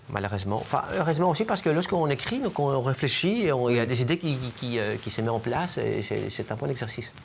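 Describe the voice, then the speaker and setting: At a very fast pace and with lively intonation, a man speaks at a medium pitch over noticeable background noise. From Greece. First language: Greek (speaking French). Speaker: cancer researcher. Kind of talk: interview. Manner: halting, many fillers and repetitions.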